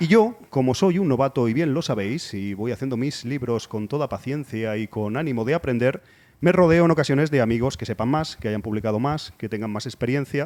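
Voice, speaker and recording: Here is a man with an ordinary speaking voice at medium pitch, using lively intonation on a very clean recording with a silent background. He talks at a fairly quick pace with hardly any pauses. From Spain, Cornellà near Barcelona. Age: middle-aged. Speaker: podcast host. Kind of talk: casual interview chat. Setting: bar.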